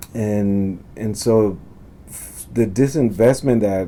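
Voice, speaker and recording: A man talks at a very slow pace in a fairly low pitch. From Texas, Fort Worth north side; born in Honduras. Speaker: architecture professor. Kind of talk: interview. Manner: halting, many fillers and restarts.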